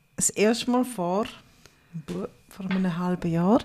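A woman speaks in a dark, mellow tone at a medium pitch, somewhat breathy, with ordinary pitch variation. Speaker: podcast host. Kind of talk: casual chat.

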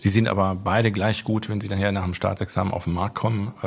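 At a fairly quick pace, a man with an unremarkable speaking voice speaks with a fairly low pitch and fairly even intonation. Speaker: business owner and former athlete. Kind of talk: interview.

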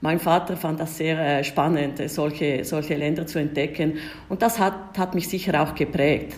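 A woman speaks at a fairly slow pace in a very deep, low voice with fairly even intonation. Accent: Italian Swiss. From Switzerland, Ticino (Italian-speaking). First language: Italian (speaking German). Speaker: diplomat. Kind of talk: interview. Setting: remote call.

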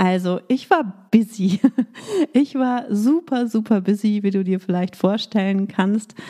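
Speaking at a very slow pace, a woman has a medium pitch, a dark, mellow tone and ordinary pitch variation. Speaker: business coach podcast host. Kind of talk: solo podcast monologue. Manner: energetic.

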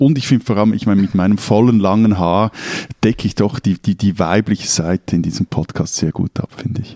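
A man's fairly low voice, fairly quick pace, ordinary pitch variation, dry, close sound with no echo. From Switzerland, Zurich. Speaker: newspaper editor, podcast co-host. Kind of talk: casual chat.

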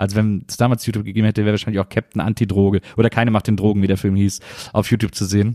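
The voice has a dark, mellow tone, with a dry, close sound with no echo on a very clean recording with a silent background. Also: man. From Germany, Rhineland (Wesseling near Cologne). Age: 40s. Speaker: podcast host. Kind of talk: casual solo monologue. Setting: room, recording alone.

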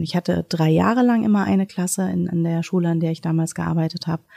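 Recorded with a dry, close sound and no echo, a woman speaks at a fairly quick pace with a dark, mellow tone, fairly low pitch and fairly even intonation. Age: 40s. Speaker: primary school principal. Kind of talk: casual interview.

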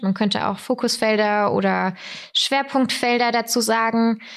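Using an ordinary speaking voice, a woman talks at a fairly slow pace with a fairly high pitch and fairly even intonation. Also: very clean recording, silent background. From southern Germany (Weikersheim, Tauber Franconia). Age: 20s. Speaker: corporate digital business developer, trend expert. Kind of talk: podcast interview.

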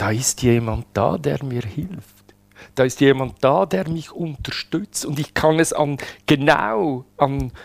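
With lively intonation and a fairly high pitch, a man speaks very slowly. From Switzerland. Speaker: widower telling his love story. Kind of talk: personal testimony interview. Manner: halting, with many fillers and repetitions.

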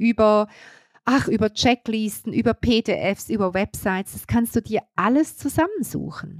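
In a very clean recording with a silent background and a dry, close sound with no echo, a woman with an ordinary speaking voice talks at a fairly slow pace, her fairly high pitch carrying lively intonation. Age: 50s. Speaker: business coach. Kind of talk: solo podcast monologue.

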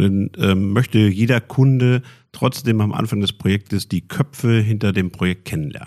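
This man has a plain, everyday voice, fairly low in pitch with ordinary pitch variation, talking at a moderate pace in a dry, close sound with no echo. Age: 50s. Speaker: IT company executive. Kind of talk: podcast interview.

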